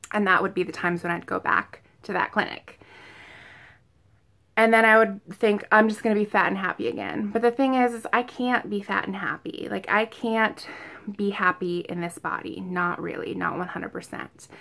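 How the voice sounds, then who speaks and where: The voice has a bright, sharp tone and ordinary pitch variation at a moderate pace. The recording is very clean, with a silent background. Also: woman, medium pitch for a woman. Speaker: vlogger preparing for weight loss surgery. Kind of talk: casual talk to camera. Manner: repeats herself, many fillers like um and like; occasional stuttering from excitement.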